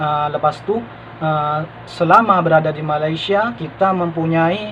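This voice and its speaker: The speech moves at a moderate pace with fairly even intonation. Noticeable background noise sits behind it. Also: man. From Madura, Indonesia. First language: Madurese (speaking Indonesian). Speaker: vlogger, former migrant restaurant worker. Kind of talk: casual vlog monologue. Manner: hesitant, many fillers.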